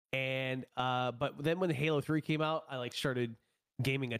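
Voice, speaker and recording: A man speaks in a plain, everyday voice at medium pitch and a moderate pace. His intonation stays fairly even, and the recording is very clean with a silent background. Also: dry, close sound with no echo. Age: 20s. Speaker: streamer and esports player. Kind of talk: casual chat.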